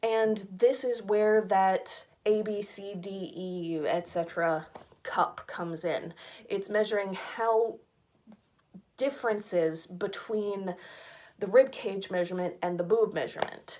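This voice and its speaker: A woman with an American accent speaks at a fairly slow pace and medium pitch with ordinary pitch variation, in an ordinary speaking voice. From United States. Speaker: fashion subscription box reviewer. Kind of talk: casual rant.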